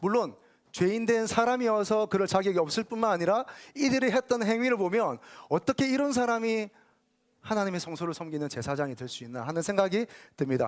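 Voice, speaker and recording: Over a silent background in a very clean recording, a man with a high pitch talks at a fairly quick pace with lively intonation. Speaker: pastor. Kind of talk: sermon. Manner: fast.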